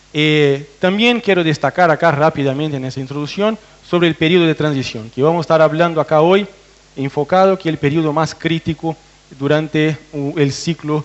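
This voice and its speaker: A man with a fairly high voice talks fairly quickly, his pitch varying in an ordinary way, as noticeable noise fills the background. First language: Portuguese (speaking Spanish). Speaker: veterinarian researcher. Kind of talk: technical presentation to farmers. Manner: hesitant, with fillers and restarts.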